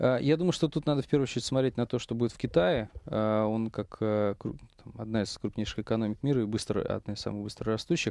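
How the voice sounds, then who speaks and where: Talking at a very fast pace, a man with a dark, mellow tone keeps a medium pitch and ordinary pitch variation, his voice dry with no echo over a quiet background. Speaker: investment company managing director; guest. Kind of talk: radio talk show discussion. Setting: studio. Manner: halting. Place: studio. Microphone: headset.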